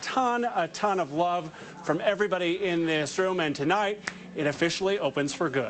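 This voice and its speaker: Amid noticeable background noise, a man talks at a fairly quick pace in a high voice with ordinary pitch variation. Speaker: TV news reporter. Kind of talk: live TV news report; news package narration. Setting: on location at a facility opening. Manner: loud; animated.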